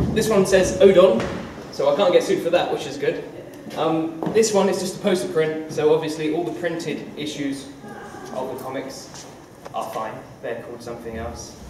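A man with a high pitch talks at a moderate pace with ordinary pitch variation, long, frequent pauses and big swings in loudness. There is audible room echo and noticeable background noise. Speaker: comic artist giving a school talk. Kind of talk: informal talk to an audience. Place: hall. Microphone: camera far.

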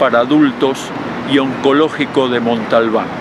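Noticeable background noise behind a male speaker, the sound dry and free of echo. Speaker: street reporter or activist. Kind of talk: on-location appeal to camera, denunciation. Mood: indignant, insistent. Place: street. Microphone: handheld.

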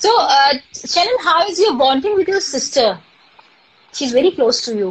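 A woman speaks with an Indian accent at a high pitch. Her pitch swings very widely at a moderate pace. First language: Hindi. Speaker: live stream host. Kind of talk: casual live interview. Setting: live video call. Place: home room. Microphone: phone near.

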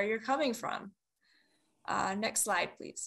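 A woman speaks with a bright, sharp tone and a fairly high pitch. Her pitch varies in an ordinary way, and the background is quiet. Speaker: webinar moderator. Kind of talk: moderated webinar. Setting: video call. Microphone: video call.

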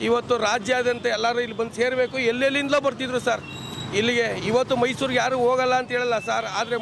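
Over noticeable background noise, a man speaks in an animated tone at an extremely high pitch for a man. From Karnataka, Mandya. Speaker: fan protester. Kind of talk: media interview at protest.

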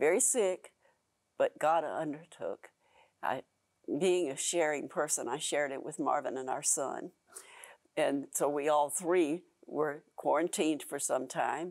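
The voice moves at a fairly slow pace with long, frequent pauses over a quiet background. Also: woman, very deep, low pitch for a woman, ordinary pitch variation. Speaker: pastor's wife and TV ministry co-host. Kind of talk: testimony. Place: studio.

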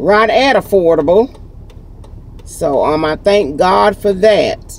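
Lively intonation marks this woman's speech. The sound is dry with no echo. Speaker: vlogger. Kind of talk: casual vlog chat. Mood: warm, thankful, excited. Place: car. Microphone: phone near.

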